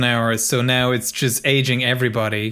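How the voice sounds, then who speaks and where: A man talks at a fairly quick pace with a medium pitch. He has an ordinary speaking voice. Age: 40s. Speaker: podcast host. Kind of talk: casual chat.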